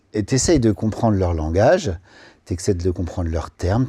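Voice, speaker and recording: Somewhat breathy and dark, mellow in tone, a man's fairly low voice moves at a moderate pace with ordinary pitch variation on a very clean recording with a silent background. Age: 40s. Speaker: wedding photographer. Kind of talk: podcast interview. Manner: casual, animated.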